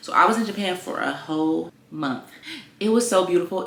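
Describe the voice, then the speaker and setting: Noticeable background noise accompanies a woman with an American accent and an upbeat tone. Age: 20s. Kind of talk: casual talk to camera. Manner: chatty, upbeat.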